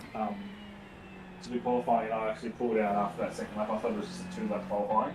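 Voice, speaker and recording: A man at medium pitch with lively intonation, talking very fast over noticeable background noise. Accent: Australian. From Australia. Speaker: sim racing driver and streamer. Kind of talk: casual chat.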